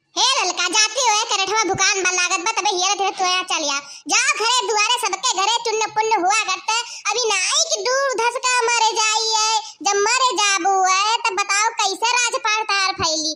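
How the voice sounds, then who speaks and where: A woman uses a cartoonish character voice at an extremely high pitch over loud background noise. Her pace is moderate and her loudness very even. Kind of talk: rustic village comedy. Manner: blunt, lecturing.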